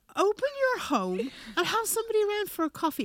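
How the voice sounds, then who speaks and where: In a southern Irish accent, a woman talks at a moderate pace with very wide pitch swings, in a dry, close sound with no echo. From Ireland, County Wicklow. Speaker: prophet, church minister. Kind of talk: casual chat.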